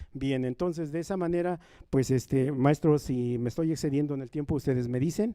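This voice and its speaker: A man's fairly high, dark and mellow voice with ordinary pitch variation, at a fairly quick pace. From rural Nahua community in Mexico. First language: Nahuatl (speaking Spanish). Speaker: Nahuatl speaker on a university panel. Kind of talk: panel talk. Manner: repetitive, emphatic.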